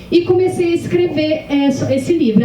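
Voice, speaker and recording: A woman with a Minas Gerais accent talks at a fairly slow pace, with audible room echo and noticeable background noise. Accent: Minas Gerais (mineiro). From Minas Gerais, Brazil. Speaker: novelist. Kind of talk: panel discussion. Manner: hesitant, many fillers.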